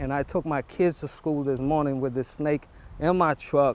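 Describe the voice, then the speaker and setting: Light background noise and a man's dry sound with no echo. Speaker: interviewee. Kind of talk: interview answer. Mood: shocked but laughing. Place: street. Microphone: lapel.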